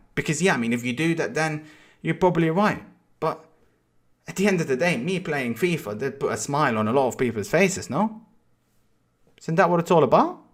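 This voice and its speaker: On a very clean recording with a silent background, a man talks at a fairly quick pace with a non-native accent. His pitch is fairly high, his intonation lively, and he leaves long, frequent pauses. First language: not English. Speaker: FIFA streamer. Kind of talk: personal video statement. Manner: halting, many repetitions.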